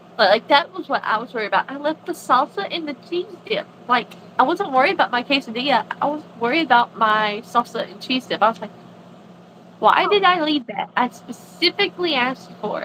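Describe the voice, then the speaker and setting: Over noticeable background noise, a woman with an American accent talks fairly quickly in a high, raised, projected voice with very wide pitch swings and big swings in loudness. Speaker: crochet designer on a live stream. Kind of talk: casual chat. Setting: live stream.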